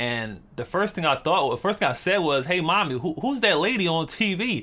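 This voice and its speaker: Bright and sharp in tone, a man with an American accent talks with lively intonation. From Philadelphia, US. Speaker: rapper and video maker. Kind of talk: casual interview.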